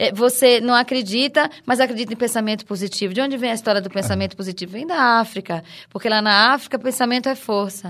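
A woman with a fairly high voice speaks at a very fast pace with hardly any pauses and ordinary pitch variation. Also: very clean recording, silent background. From Recife, Pernambuco, Brazil. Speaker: researcher, actress and dancer. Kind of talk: interview.

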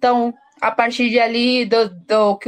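A woman with a Colombian accent speaks at a fairly slow pace in a fairly high pitch. Her intonation stays monotone and flat over a quiet background. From Colombia, Bogotá. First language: Spanish (speaking Portuguese). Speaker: researcher and teacher. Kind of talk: interview. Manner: halting, many fillers.

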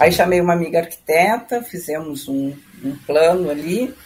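A woman talks at a fairly slow pace in a dark, mellow tone with fairly low pitch. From southern Brazil, Rio Grande do Sul. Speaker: musician and music educator. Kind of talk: interview. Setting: video call.

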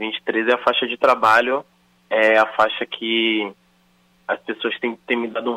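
The delivery is a flat monotone. The pace is very slow. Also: man. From Salvador, Bahia, Brazil. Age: 30s. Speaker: rapper and actor. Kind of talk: interview.

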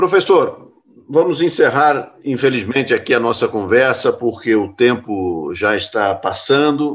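Lively intonation marks an ordinary speaking voice that goes at a fairly slow pace. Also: man, medium pitch for a man. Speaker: radio host. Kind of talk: radio interview.

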